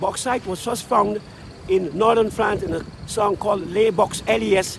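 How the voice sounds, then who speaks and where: A man talks at a moderate pace in a high pitch with ordinary pitch variation. Noticeable background noise sits behind him. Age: 70s. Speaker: street musician. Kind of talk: oral history interview. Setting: outdoors at a busy street intersection.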